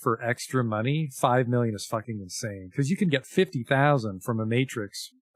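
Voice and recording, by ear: Natural-voiced reading aloud, its pitch moving in an ordinary way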